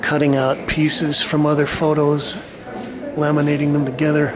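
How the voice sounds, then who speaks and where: Noticeable background noise is present. Speech moves at a fairly slow pace. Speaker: painter reviewing an art show. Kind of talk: commentary. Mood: wry, critical. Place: hall. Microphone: phone near.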